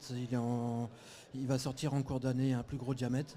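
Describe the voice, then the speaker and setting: The man's voice sits at a medium pitch. It has a dark, mellow tone. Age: 40s. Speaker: fishing bait brand representative. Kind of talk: live TV interview.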